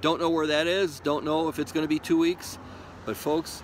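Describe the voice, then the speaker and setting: A man talks with a fairly high pitch. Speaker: prepper video maker. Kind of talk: casual monologue to camera. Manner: urgent, halting with repetitions.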